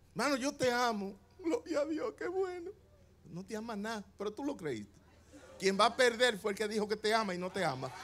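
A man's high voice with very wide pitch swings, moderate pace and light background noise. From Dominican Republic. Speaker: pastor. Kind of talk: sermon. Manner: animated. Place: church. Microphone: handheld.

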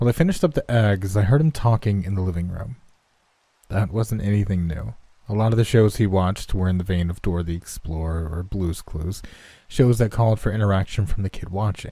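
The tone is dark and mellow, somewhat breathy. Pitch varies in an ordinary way, and the pace is fairly quick. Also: man, fairly low pitch for a man. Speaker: online horror story narrator. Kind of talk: horror story narration.

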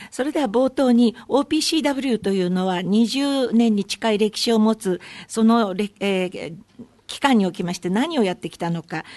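A woman's dark, mellow tone at a moderate pace, in a dry, close sound with no echo. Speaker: conference interpreter. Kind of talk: consecutive interpretation. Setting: press conference. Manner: formal.

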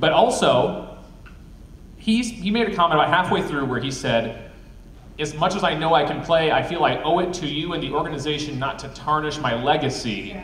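Fairly high in pitch, a man with an American accent talks at a fairly quick pace with lively intonation, amid audible room echo and light background noise. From Wisconsin. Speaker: filmmaker and panel moderator; panel moderator. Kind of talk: panel discussion. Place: hall. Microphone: camera far.

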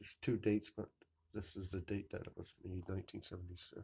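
A man's very deep, low voice, dark and mellow in tone and somewhat breathy, at a moderate pace with monotone, flat intonation. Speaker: vlogger showing a vintage game find. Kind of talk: casual video show-and-tell. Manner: casual, rambling. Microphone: phone near.

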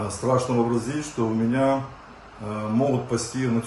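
A man at a medium pitch with fairly even intonation and a fairly slow pace, with light background noise and audible room echo. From Ukraine. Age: 50s. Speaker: retired police officer. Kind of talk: testimony. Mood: somber, remorseful. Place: office. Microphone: phone near.

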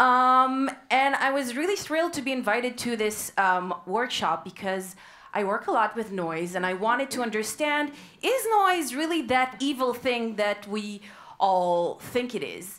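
Pitched high, a woman speaks at a fairly slow pace with very wide pitch swings. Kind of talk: lecture. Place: hall. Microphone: headset.

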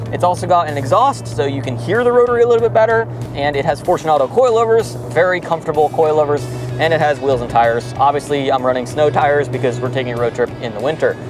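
A man rattles off his words very quickly, his voice dry and echo-free, with clear music playing behind him. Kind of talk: casual vlog chat. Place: car.

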